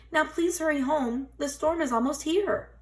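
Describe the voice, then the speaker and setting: A woman uses a squeaky put-on character voice, high in pitch, at a moderate pace with ordinary pitch variation. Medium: read story.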